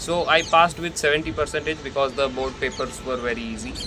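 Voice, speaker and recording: A man with an Indian accent speaks with fairly even intonation over noticeable background noise. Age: young. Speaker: content creator. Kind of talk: personal reflection monologue. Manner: casual, conversational.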